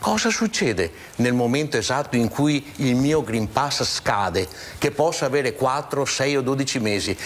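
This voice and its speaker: A man's fairly high voice with lively intonation at a moderate pace, over noticeable background noise. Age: 60s. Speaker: regional political activist. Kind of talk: TV talk show discussion. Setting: TV studio. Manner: animated.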